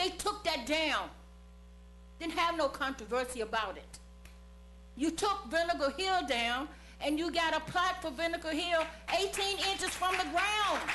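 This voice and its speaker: A woman's extremely high-pitched, raised and projected voice at a moderate pace, animated in tone, with lively intonation and long, frequent pauses. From Charlottesville, Virginia (US South). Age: 70s. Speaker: public commenter at council meeting. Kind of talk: public comment speech. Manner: animated, emphatic.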